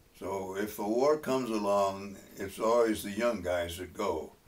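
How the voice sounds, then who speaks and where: Speaking at a fairly slow pace, a man with a fairly low pitch and an American accent is heard with audible room echo. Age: 90s. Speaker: war veteran. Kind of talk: testimony. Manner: halting, many fillers.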